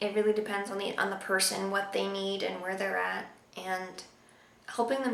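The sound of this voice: A woman speaks at a moderate pace with vocal fry and a fairly bright tone, her voice carrying strong room echo.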